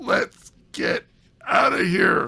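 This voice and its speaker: A man puts on a raspy character voice. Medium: read story. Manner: hushed, furtive.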